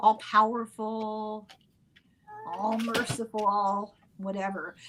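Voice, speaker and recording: At a very slow pace, a woman with a fairly high pitch speaks over noticeable background noise. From Ireland. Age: old. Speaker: podcast host on spirituality. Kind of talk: casual discussion.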